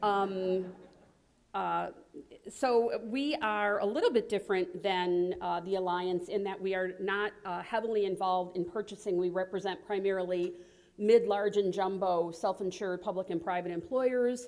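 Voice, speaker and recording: This woman's voice has a medium pitch. The intonation stays fairly even. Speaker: health coalition leader. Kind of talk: conference presentation. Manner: fast.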